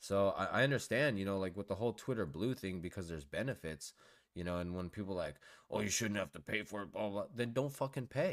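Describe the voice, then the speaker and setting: Over a silent background in a very clean recording, a man with a fairly low pitch talks with lively intonation in a normal speaking voice. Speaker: podcast co-host. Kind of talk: casual chat. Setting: home recording with mics.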